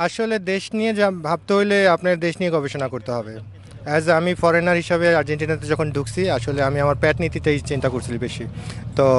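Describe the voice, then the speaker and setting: This is a plain, everyday voice with lively intonation. The sound is dry with no echo, over light background noise. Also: man, fairly high pitch for a man. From Bangladesh. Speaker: shop owner; interviewee. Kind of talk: interview. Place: waterside. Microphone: handheld.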